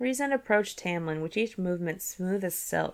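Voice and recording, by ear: The reading aloud is done in a natural voice, its intonation lively.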